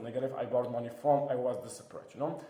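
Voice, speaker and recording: A man speaks very fast, with noticeable background noise and audible room echo. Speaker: online marketing teacher. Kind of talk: tutorial. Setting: new office. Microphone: echo in room.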